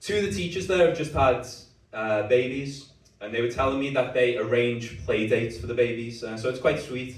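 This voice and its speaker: A man with a Liverpool accent talks at a moderate pace and a medium pitch, his pitch varying in an ordinary way, against noticeable background noise and audible room echo. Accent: Scouse. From Liverpool, England. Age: 30s. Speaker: stand-up comedian. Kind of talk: stand-up. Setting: stage with audience.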